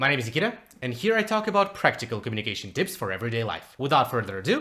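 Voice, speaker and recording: Very fast speech in a non-native accent with very wide pitch swings. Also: man, medium pitch for a man. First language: not English. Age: 20s. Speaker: communication coach. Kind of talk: tutorial.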